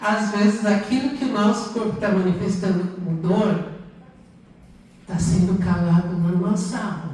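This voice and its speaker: Over noticeable background noise and audible room echo, a woman talks at a fairly slow pace with fairly even intonation and a medium pitch. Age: 70s. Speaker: motivational speaker. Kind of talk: lecture.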